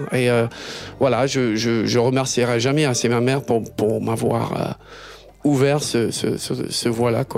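Noticeable background noise surrounds a man speaking with an English accent at medium pitch. He talks at a very slow pace, monotone and flat, his loudness very even. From Britain. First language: English (speaking French). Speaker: singer-songwriter. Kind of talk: interview. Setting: studio. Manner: halting.

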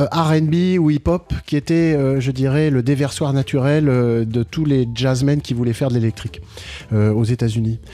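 A man's medium-pitched voice at a fairly slow pace, with ordinary pitch variation, very even loudness and noticeable background noise. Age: 60s. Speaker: jazz pianist. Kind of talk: radio interview. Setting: radio studio, live broadcast. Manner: halting, with many repeated words.

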